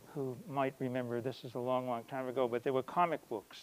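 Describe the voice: This clip is plain reading aloud.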